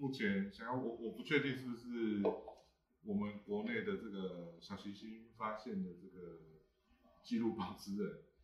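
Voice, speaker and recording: Audible room echo surrounds a man speaking at a fairly slow pace. His pitch is medium, with ordinary pitch variation. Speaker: livestream host. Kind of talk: casual panel talk.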